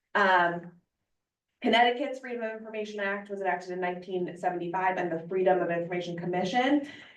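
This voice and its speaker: Medium-pitched female speech with ordinary pitch variation, set in audible room echo. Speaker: attorney giving board training. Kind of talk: presentation.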